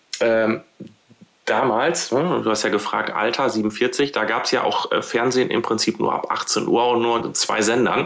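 Ordinary pitch variation in a man's voice, plus noticeable background noise. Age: 40s. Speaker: head of corporate communications. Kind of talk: interview. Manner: halting, many filler words.

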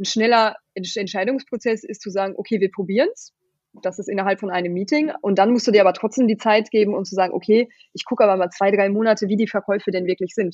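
A woman's very fast speech at a medium pitch, with fairly even intonation and big swings in loudness. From Germany. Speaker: company founder. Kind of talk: interview. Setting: home office.

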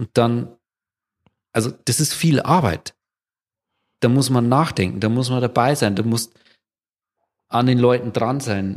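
A man talks fairly slowly, with long, frequent pauses. His voice sits at medium pitch with ordinary variation. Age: 40s. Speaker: company founder and managing director. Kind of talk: casual interview.

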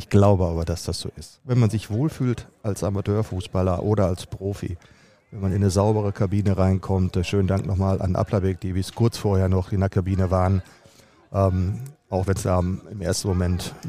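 At a moderate pace, a man speaks in a plain, everyday voice that sits fairly low, with fairly even intonation. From Germany, Dortmund. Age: 50s. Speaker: football team manager. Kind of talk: interview.

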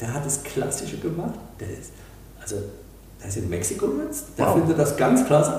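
A man at a moderate pace, with long, frequent pauses, big swings in loudness, audible room echo, and noticeable background noise. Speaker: real estate company executive. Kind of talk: interview. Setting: office in Dresden.

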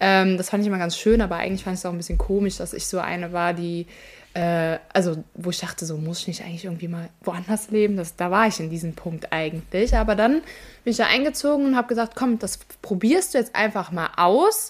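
With an unremarkable speaking voice, a woman talks at a fairly quick pace and medium pitch, her pitch varying in an ordinary way. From Germany, Ahr valley (Rhineland-Palatinate). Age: 20s. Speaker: flood survivor. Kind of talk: casual interview.

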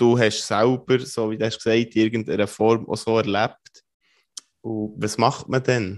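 Fairly slow, monotone, flat speech with a Swiss accent. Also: man, medium pitch for a man, quiet background. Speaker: podcast host. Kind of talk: interview.

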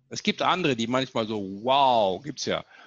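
A man's bright, sharp, animated tone at a fairly slow pace, ordinary pitch variation, dry, close sound with no echo and a quiet background. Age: 50s. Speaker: leadership speaker and author. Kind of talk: interview.

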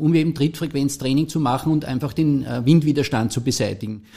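In an Austrian accent, a man speaks at a fairly quick pace with a fairly high pitch and ordinary pitch variation. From Austria, St. Pölten (Lower Austria). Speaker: former world champion track cyclist. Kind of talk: interview. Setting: studio. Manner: hesitant, many filler sounds.

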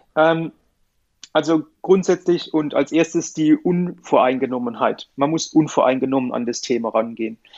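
With a plain, everyday voice, a man talks at a moderate pace and a fairly high pitch, with ordinary pitch variation. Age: 40s. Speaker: company director in metal 3D printing. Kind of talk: casual interview.

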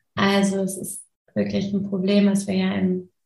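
Somewhat breathy and medium in pitch, a woman speaks with monotone, flat intonation. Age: 30s. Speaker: sustainable fashion consultant and activist. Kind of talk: interview.

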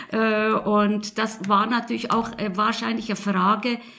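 A woman speaks at a medium pitch. Noticeable background noise is present. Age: 70s. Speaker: retiree, engaged citizen. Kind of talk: interview questions.

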